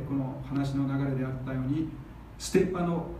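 With noticeable background noise and audible room echo, a man is speaking. His pitch is fairly high and his intonation fairly even. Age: 50s. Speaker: pastor. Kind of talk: sermon.

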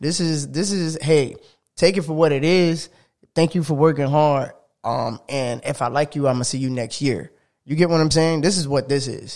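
In a very clean recording with a silent background, a man with a normal speaking voice talks at a moderate pace, his fairly high pitch showing ordinary pitch variation. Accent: American. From South Florida. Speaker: sports podcast co-host. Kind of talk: casual chat.

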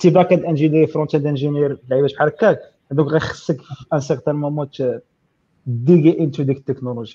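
A very fast, somewhat breathy voice with a dark, mellow tone and fairly even intonation. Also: man, fairly high pitch for a man. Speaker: software engineer. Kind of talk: casual tech Q&A.

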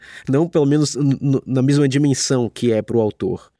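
With ordinary pitch variation, this man's voice carries a dark, mellow tone. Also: dry, close sound with no echo. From Salvador, Bahia, Brazil. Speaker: writer and podcast host. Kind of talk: solo reflective monologue. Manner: hesitant, with fillers and repetitions.

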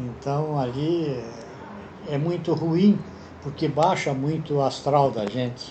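A man speaks at a fairly slow pace with a fairly high pitch and ordinary pitch variation. Noticeable background noise and audible room echo fill the recording. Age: 80s+. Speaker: retiree. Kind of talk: interview answers.

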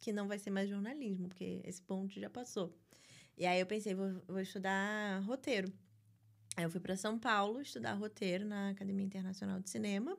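In a very clean recording with a silent background, a woman talks in an ordinary speaking voice at medium pitch, with ordinary pitch variation and a moderate pace. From Brazil, Rio de Janeiro (Barra da Tijuca). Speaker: writer. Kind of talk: interview conversation.

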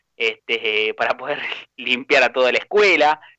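With ordinary pitch variation, a man moves along at a fairly quick pace. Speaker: teacher and radio news commentator. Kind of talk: casual chat. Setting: studio. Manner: animated.

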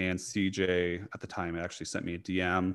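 Delivered at a moderate pace, the speech carries an American accent. The background is silent and the recording very clean. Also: man. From US, small town. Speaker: dietitian and fitness coach. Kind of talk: casual interview.

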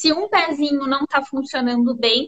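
The speaker is a woman with a high voice. Her pitch rises and falls in a normal way. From Paraná, Brazil (Londrina). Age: young. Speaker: business mentor. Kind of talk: casual interview.

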